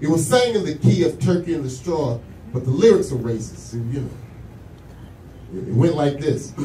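Light background noise and audible room echo around a man's moderately paced speech. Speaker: stand-up comedian. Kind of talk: stand-up comedy set. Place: bar.

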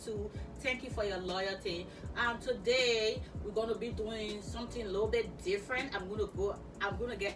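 Clear music in the background behind a woman. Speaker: fashion vlogger. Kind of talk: casual vlog chat. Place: home room. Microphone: camera far.

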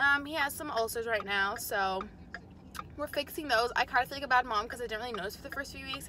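A woman speaks fast in a fairly high, bright, sharp voice with ordinary pitch variation.

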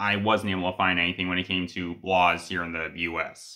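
A man speaks with a bright, sharp tone. His pace is moderate, and the background is quiet. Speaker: fan video creator. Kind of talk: commentary. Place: home room. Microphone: phone near.

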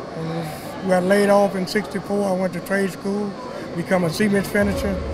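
A man's voice comes through a dry sound with no echo, along with noticeable background noise. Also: moderate pace. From Louisiana. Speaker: truck driver. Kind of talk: interview answer. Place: hall. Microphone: handheld.

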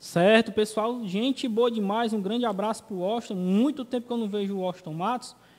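A man with a high pitch talks at a fairly quick pace, his intonation fairly even and hardly any pauses between words. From Ceará, Brazil. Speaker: web TV show host. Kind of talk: talk show. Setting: studio. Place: studio. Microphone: studio mic.

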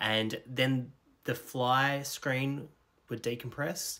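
Against a quiet background, a man with an Australian accent speaks at a very slow pace. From rural Australia. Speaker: storyteller. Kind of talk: personal storytelling. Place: home room. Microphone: phone near.

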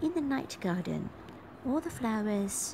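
A woman speaks over noticeable background noise. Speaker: perfume reviewer. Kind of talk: casual talk to camera. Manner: whispered. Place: home room. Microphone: phone near.

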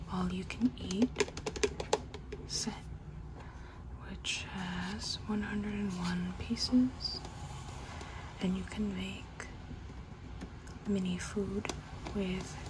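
Someone whispers soft-spoken words at a very slow pace, leaving long, frequent pauses against noticeable background noise. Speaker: toy reviewer. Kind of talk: unboxing narration. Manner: soft ASMR whisper. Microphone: phone near.

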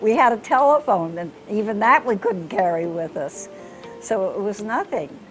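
With clear music in the background, a woman with an American accent speaks at a fairly slow pace. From Florida. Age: 80s+. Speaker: university graduate; interviewee. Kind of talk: interview. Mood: warm, reflective. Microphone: lapel.

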